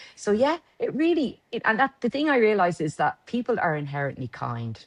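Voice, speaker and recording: Speaking in a Dublin accent, a woman talks at a fairly quick pace and fairly high pitch, with very wide pitch swings. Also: dry, close sound with no echo. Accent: Dublin Irish. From Ireland, Dublin. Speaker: lawyer and company director. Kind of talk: interview.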